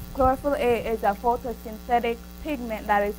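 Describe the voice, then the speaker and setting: A woman with a Jamaican accent talks at a moderate pace. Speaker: student researcher. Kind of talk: student presentation. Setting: seminar room with microphone. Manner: hesitant, with fillers.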